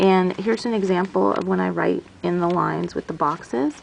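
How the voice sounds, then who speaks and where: Delivery is fairly quick. Underneath it, there's noticeable background noise. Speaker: teacher and planner YouTuber. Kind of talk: casual tutorial show-and-tell. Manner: halting, searching for words.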